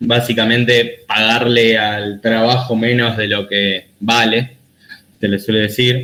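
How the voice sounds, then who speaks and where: Bright and sharp in tone, a man's medium-pitched voice stays monotone and flat. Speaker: economics graduate presenting his thesis. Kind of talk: academic presentation. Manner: hesitant with fillers.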